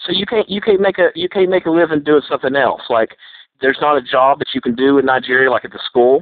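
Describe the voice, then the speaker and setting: With an American accent, a man talks at a very fast pace with lively intonation. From United States. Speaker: scam baiter. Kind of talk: heated phone argument. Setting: phone call. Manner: animated, lecturing.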